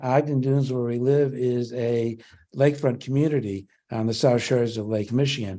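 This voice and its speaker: Against a quiet background, a man with a dark, mellow tone speaks at medium pitch and a moderate pace with fairly even intonation. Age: 70s. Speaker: public hearing commenter. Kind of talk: public testimony. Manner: halting, with frequent fillers.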